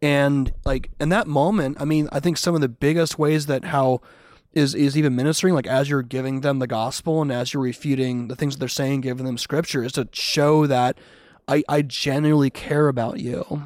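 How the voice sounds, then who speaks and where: A plain, everyday voice from a man, fairly high in pitch with fairly even intonation and a moderate pace, on a very clean recording with a silent background. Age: 40s. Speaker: street evangelist. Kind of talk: casual chat.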